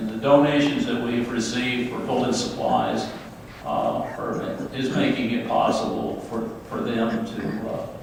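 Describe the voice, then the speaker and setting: A man at a fairly slow pace with a Maryland Eastern Shore accent, amid noticeable background noise and audible room echo. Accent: Maryland Eastern Shore (Tidewater) American. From Crisfield, Maryland Eastern Shore, US. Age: 70s. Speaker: town mayor. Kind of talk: speech to a church convention. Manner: halting, many fillers.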